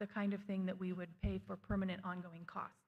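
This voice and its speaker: A somewhat breathy woman speaks at a medium pitch and a fairly quick pace. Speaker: school district administrator presenting budget. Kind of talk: budget presentation at school board meeting. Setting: school board meeting. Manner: fast.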